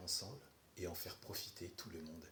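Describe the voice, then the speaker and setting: With audible room echo, a man speaks in a very deep, low, somewhat breathy voice. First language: not French (speaking French). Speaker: herbal remedies content creator. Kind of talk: response video. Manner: sarcastic.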